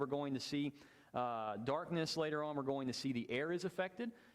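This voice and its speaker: Lively in intonation and fairly high in pitch, a man speaks at a fairly quick pace. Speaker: Bible class teacher. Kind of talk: Bible class lecture with discussion. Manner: fast.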